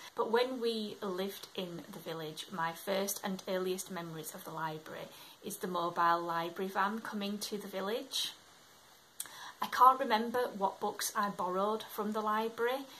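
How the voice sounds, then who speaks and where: A woman with a Yorkshire accent talks at a moderate pace. Her pitch is medium and her intonation fairly even. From Scotland, moved to England at about eight. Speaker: book vlogger. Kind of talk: casual talk to camera.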